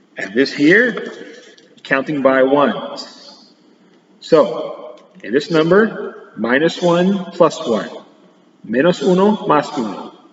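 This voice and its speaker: A man's high voice swinging very widely in pitch, very slow with long, frequent pauses, over noticeable background noise. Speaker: teacher. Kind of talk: recorded math lesson for pupils. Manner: switching between English and Spanish.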